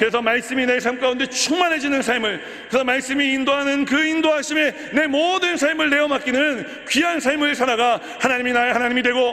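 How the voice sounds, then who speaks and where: A man's raised, projected voice at an extremely high pitch, with audible room echo. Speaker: pastor. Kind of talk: sermon. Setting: church. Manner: fast.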